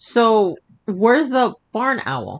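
In a put-on character voice, a man speaks at a very slow pace, his high pitch making big swings.

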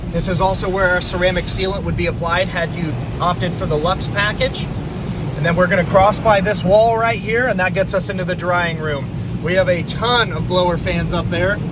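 The speech moves at a moderate pace with a dry sound and no echo. Loud background noise runs underneath. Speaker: presenter. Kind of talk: guided tour commentary. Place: car. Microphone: phone near.

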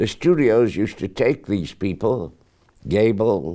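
Against a quiet background, a man speaks at a very slow pace in a fairly low, dark, mellow voice. His pitch swings very widely. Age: 80s+. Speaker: actor. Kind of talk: interview answer. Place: home room. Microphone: lapel.

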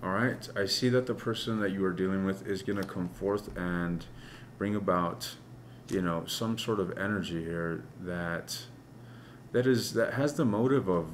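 At a moderate pace, a man speaks in a fairly low voice with ordinary pitch variation over light background noise. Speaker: tarot reader. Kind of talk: tarot reading commentary. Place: home room.

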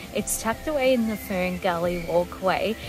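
A woman talks at a moderate pace with ordinary pitch variation. The sound is dry with no echo, and music plays clearly in the background. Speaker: tour vlogger. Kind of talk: casual vlog chat. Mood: calm, cheerful. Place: garden.

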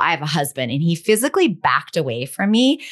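In a quiet setting, a woman talks at a moderate speed. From US, raised in a hippie commune. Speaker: sex and relationship coach and author; relationship coach. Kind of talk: casual interview. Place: home room.

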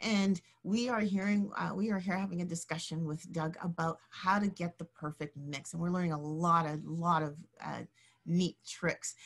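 Against a quiet background, a woman talks at a moderate pace with fairly low pitch. Her voice is somewhat breathy, with fairly even intonation. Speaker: online show host. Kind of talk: hosting a live stream. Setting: live broadcast. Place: home room. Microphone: webcam.

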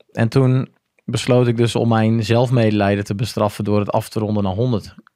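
Heard against a quiet background, a man speaks in a dark, mellow tone with a dry sound and no echo. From Groningen, northern Netherlands; northern Netherlands. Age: 30s. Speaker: former marine special forces diver; podcast guest. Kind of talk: casual interview, personal story. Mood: relaxed storytelling. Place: studio. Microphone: studio mic.

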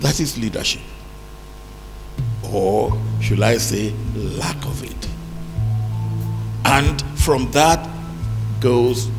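A man speaking at a very slow pace, with faint music in the background. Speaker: keynote lecturer. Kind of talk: public lecture speech. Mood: wry, critical. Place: hall. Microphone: handheld.

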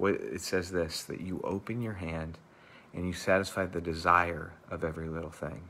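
A man's very deep, low voice with a bright, sharp tone, fairly even intonation and a moderate pace. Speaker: church pastor leading devotional. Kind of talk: devotional talk and fervent prayer. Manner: fervent, earnest, heartfelt prayer; informal, conversational, with filler words. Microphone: lapel.

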